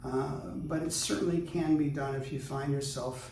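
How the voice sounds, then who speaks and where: A man's moderately paced speech carries audible room echo and noticeable background noise. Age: 60s. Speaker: luthier. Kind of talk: casual chat. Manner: halting.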